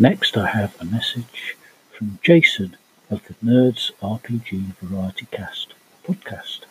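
Speaking at a very slow pace with a British accent, a man lets his loudness rise and fall in big swings. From UK. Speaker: podcast host, tabletop role-playing gamer. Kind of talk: scripted podcast monologue.

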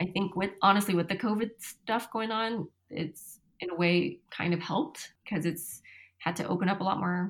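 Using a normal speaking voice, a woman talks at a moderate pace with medium pitch and ordinary pitch variation. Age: 30s. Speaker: cardiology nurse. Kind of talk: casual interview.

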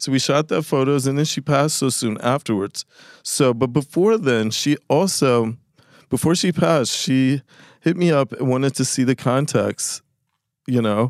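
In a very clean recording with a silent background and a dry, close sound with no echo, a man with an American accent talks at a moderate pace and medium pitch with ordinary pitch variation, in an ordinary speaking voice. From New Jersey. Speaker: photographer. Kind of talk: casual chat. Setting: studio.

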